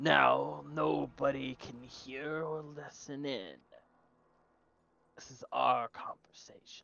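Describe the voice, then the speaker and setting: In a put-on character voice, a man speaks very slowly at medium pitch, raspy throughout. Long pauses come often. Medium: actual play. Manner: formal, measured.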